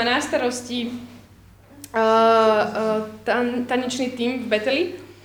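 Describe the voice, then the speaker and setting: A high-pitched woman speaking at a fairly slow pace, with audible room echo. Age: 30s. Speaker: workshop leader. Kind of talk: testimony.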